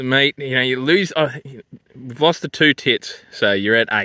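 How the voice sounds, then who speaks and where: In a bright, sharp tone with lively intonation, the voice moves at a very slow pace, its dry sound carrying no echo against a quiet background. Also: man. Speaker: vlogger reviewing food. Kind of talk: casual vlog chat. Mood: jokey, crude, laid-back. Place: open country. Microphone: phone near.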